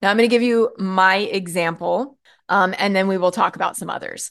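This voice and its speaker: A woman with an ordinary speaking voice, medium pitch and ordinary pitch variation, against a quiet background. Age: 40s. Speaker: podcast host, marketing and messaging coach. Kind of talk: solo podcast talk, coaching monologue.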